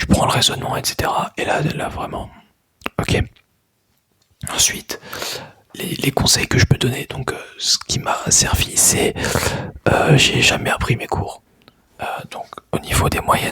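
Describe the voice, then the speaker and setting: A man whispering at a fairly slow pace, with long, frequent pauses. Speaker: ASMR creator, student. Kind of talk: ASMR whispered talk to camera. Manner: whispered, soft-spoken.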